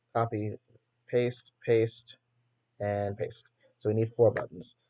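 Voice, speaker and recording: This man's voice is medium in pitch and somewhat breathy. He talks at a moderate pace. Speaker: coding tutorial youtuber. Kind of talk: tutorial. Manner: casual, hesitant with fillers.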